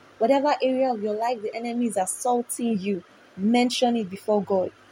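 A woman speaks with a fairly high pitch, a somewhat breathy quality, and ordinary pitch variation. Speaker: prayer leader. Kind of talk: devotional exhortation leading prayer, then fervent prayer. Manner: fervent, commanding, imploring; rhythmic, repeats lines for the listener to echo.

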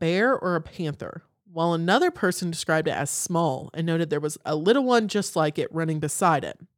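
A woman with an Appalachian accent, fairly low pitch, lively intonation and a fairly quick pace, on a very clean recording with a silent background. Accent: Southern US (Appalachian). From Western North Carolina. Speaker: podcast co-host. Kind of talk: casual chat.

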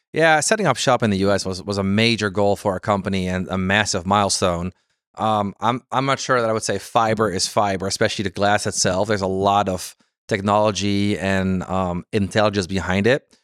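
With a slight Dutch accent, a man speaks at a fairly quick pace in a fairly low pitch and fairly even intonation, on a very clean recording with a silent background. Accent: light Dutch-accented English. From Netherlands, Amsterdam. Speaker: fiber cable sales executive. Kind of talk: interview. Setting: conference venue.

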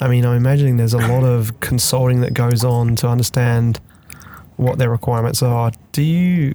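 A man speaks at a fairly quick pace, medium in pitch, with fairly even intonation and very even loudness. Background noise is noticeable. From London, England. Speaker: podcast host. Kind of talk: casual interview.

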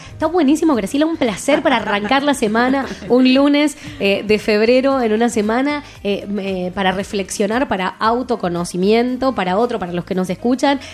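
A woman with a fairly high pitch and lively intonation talks at a moderate pace amid noticeable background noise. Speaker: radio host. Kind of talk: casual chat.

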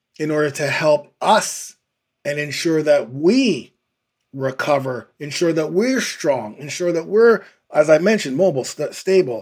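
A man speaks at a fairly slow pace in a fairly high, animated voice with lively intonation. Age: 50s. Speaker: fitness podcast host and trainer. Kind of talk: casual interview chat.

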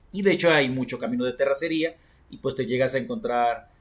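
A man with a Mexican accent and medium pitch speaks with lively intonation. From Mexico, Coatepec, Veracruz. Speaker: podcast host. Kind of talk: storytelling. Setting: rooftop.

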